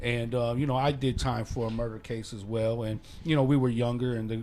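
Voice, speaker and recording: A man with an American accent speaks fairly quickly at medium pitch in a dark, mellow tone with monotone, flat intonation, and audible room echo surrounds him. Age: 40s. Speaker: podcast host. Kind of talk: casual interview chat.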